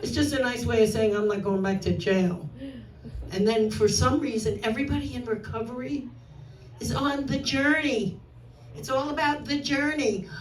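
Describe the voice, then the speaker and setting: A woman with a New York accent, fairly high pitch and lively intonation at a moderate pace, with audible room echo and noticeable background noise. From New York, Brooklyn. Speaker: stand-up comedian. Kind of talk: stand-up. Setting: stage with audience.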